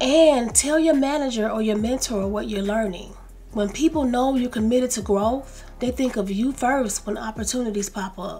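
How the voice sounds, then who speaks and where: A woman speaks with an American accent and a high pitch. Her pitch varies in an ordinary way. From US South. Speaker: lifestyle YouTuber. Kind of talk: self-help video talk. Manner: slow and calm.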